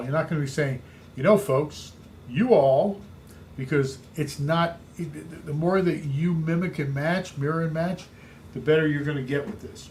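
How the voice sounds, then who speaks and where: A man with a fairly high pitch, somewhat breathy, at a moderate pace with ordinary pitch variation and audible room echo. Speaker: real estate coach. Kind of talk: training talk.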